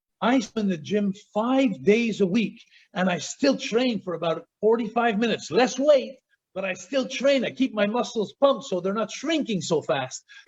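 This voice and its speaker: A man speaks with a Quebec accent at a high pitch. His pace is moderate and his pitch variation ordinary. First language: French. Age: 60s. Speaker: former pro wrestler. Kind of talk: casual chat. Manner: animated.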